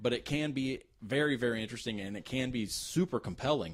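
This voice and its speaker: At a fairly quick pace, a man with medium pitch and ordinary pitch variation speaks in a plain, everyday voice. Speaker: podcast co-host. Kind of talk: casual podcast conversation.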